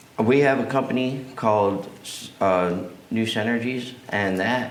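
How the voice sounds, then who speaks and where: In a room with audible echo, a man with an American accent talks at a very slow pace, his pitch varying in an ordinary way. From US South, south Alabama. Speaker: deposition witness, businessman. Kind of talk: sworn deposition testimony.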